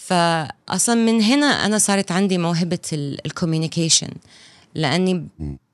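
In a very clean recording with a silent background, a woman with a medium pitch speaks at a moderate pace, her intonation lively and her loudness very even. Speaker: film director. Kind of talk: casual interview chat. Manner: animated.

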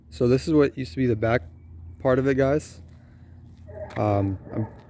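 A man at a moderate pace with light noise in the background. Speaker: urban explorer vlogger. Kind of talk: casual vlog narration. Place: stadium. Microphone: phone near.

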